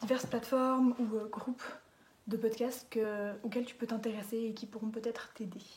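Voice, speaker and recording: Here a woman talks at a moderate pace. Her voice is fairly high. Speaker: podcast recommender, youtuber. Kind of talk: casual monologue to camera. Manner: hesitant, many fillers.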